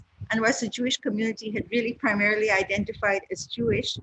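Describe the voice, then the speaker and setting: A somewhat breathy woman's voice at a fairly high pitch. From India, Calcutta. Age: 60s. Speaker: author and scholar. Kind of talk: lecture. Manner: halting.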